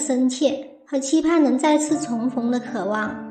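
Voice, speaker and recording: Music plays behind a woman speaking in a high pitch. Her pitch varies in an ordinary way. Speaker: TV drama commentator. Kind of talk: TV drama analysis narration.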